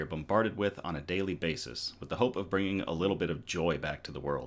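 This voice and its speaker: In an unremarkable speaking voice, a man talks at a fairly quick pace with a fairly low pitch. The recording is very clean, the background silent. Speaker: news show host. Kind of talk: casual live-stream news show intro. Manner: upbeat, casual.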